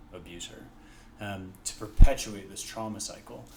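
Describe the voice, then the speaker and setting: A soft-spoken man, fairly low in pitch, at a moderate pace against noticeable background noise. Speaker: physician associate and nonprofit founder. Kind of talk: expert interview answer.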